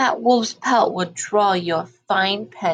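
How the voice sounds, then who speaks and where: A woman's put-on character voice, creaky and medium-pitched, at a fairly slow pace. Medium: read story.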